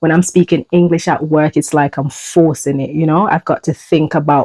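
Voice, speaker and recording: Using a Jamaican accent, a woman with a very deep, low pitch and a dark, mellow tone talks at a moderate pace in a monotone, flat intonation. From Jamaica, rural countryside. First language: Jamaican Patois. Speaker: YouTuber. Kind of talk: personal vlog. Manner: halting.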